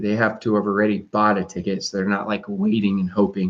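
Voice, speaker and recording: A man with an American accent. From US. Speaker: network marketing consultant. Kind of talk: casual chat. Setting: live stream.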